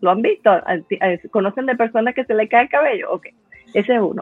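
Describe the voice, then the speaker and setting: Over music in the background, a woman talks at a very fast pace with lively intonation. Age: 50s. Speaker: laughter therapist. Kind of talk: conference talk.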